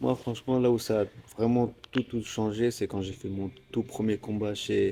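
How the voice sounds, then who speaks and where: This man's voice sits at a medium pitch with a dark, mellow tone. He talks at a fairly slow pace with fairly even intonation. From Normandy, France. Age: 20s. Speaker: MMA fighter. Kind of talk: interview. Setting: gym.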